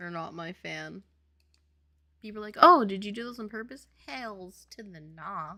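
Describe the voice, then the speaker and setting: The voice has a bright, sharp tone and lively intonation, moving at a moderate pace with big swings in loudness and long, frequent pauses. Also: woman, medium pitch for a woman. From Louisiana, New Orleans. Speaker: indie game developer, streamer. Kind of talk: casual livestream chat.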